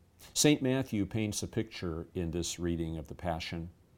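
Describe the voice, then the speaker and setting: A man in an ordinary speaking voice, at a moderate pace with ordinary pitch variation. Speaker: pastor. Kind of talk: scripture reading with devotional commentary and closing prayer. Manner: formal; solemn, measured.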